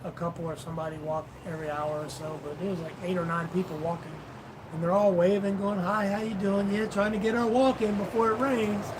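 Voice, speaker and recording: Noticeable background noise and audible room echo fill the recording. A man speaks fairly quickly in a high voice with ordinary pitch variation. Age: 50s. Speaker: vlogger, live stream co-host. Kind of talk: casual live stream chat.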